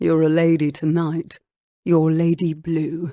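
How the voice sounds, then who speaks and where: A put-on character voice at middle pitch, husky and monotone with flat intonation, moves at a fairly slow pace. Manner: intimate, flirtatious.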